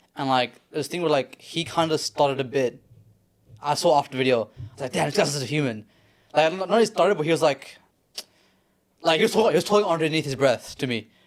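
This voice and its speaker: With an Australian accent, a man talks very fast in a fairly high pitch, his intonation lively and his pauses long and frequent. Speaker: fitness content creator. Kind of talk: casual chat.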